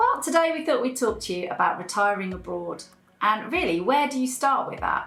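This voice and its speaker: A woman at a fairly high pitch with very wide pitch swings and a fairly quick pace, with music in the background and audible room echo. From England. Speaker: YouTube channel co-host. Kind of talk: casual chat.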